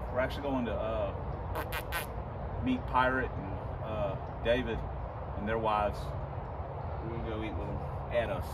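Through loud background noise, a man speaks at a moderate pace. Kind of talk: casual vlog chat. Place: street.

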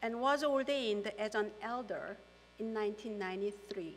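A woman speaks at a fairly slow pace, her fairly high pitch carried by lively intonation.

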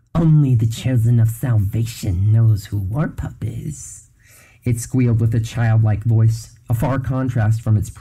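Fairly even intonation in a natural reading voice.

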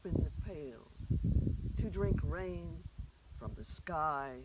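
Over loud background noise, a woman speaks at a very slow pace, with a dry sound and no echo. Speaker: poet and workshop presenter. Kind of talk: poem reading, introduced then read aloud to camera. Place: open country. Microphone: camera far.

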